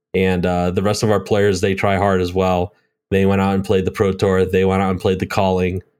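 A man's very deep, low voice, fairly quick and monotone with flat intonation, on a very clean recording with a silent background. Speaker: podcast host. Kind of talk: casual chat.

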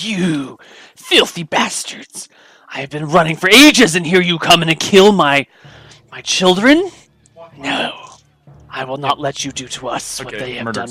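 In a put-on character voice with a hissing sound, the speaker moves at a moderate pace with long, frequent pauses. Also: man, high pitch for a man. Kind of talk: angry, cursing. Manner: furious, grieving, hissing.

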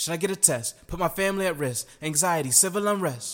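A man with an ordinary speaking voice talks at a moderate pace. His fairly high voice shows ordinary pitch variation. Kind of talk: spoken word poem. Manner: rhythmic, rhyming, poetic cadence; earnest, reflective, building to a defiant close.

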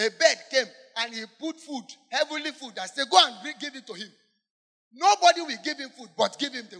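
Raising and projecting his voice, a man speaks at an extremely high pitch with big swings in loudness. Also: lively intonation, moderate pace. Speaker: preacher leading congregation in prayer. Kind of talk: fervent warfare prayer led from the pulpit, call-and-response with congregation. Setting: church with congregation. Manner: loud, urgent, emphatic preaching with rhetorical questions.

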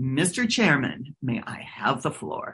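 In a put-on character voice, the speaker holds a low-to-middle pitch.

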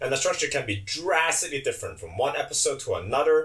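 An animated man with a Chinese accent. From China. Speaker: podcast co-host. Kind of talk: casual chat.

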